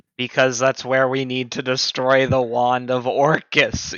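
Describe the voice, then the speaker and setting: A man does a put-on character voice, medium in pitch and delivered at a moderate speed. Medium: actual play. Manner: measured, scholarly.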